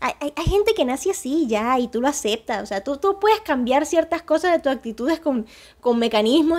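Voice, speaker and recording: Animated and at a fairly quick pace, a woman speaks with a high pitch and very wide pitch swings over a quiet background. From Colombia, Valledupar; Colombia. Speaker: YouTuber. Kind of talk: casual vlog monologue. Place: home room. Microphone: lapel.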